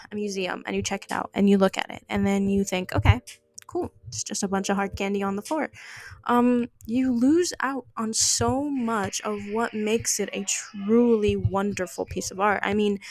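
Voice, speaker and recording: With a non-native accent, a woman talks at a moderate pace in a medium pitch with ordinary pitch variation, in a dry, close sound with no echo. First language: not English. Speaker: art podcast host. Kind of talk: casual monologue. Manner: halting, many fillers.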